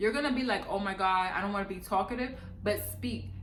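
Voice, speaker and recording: Noticeable background noise and audible room echo surround the speaker. A woman with an American accent talks at a medium pitch with ordinary pitch variation. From New York City, the Bronx. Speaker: vlogger. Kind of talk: casual vlog advice. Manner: animated.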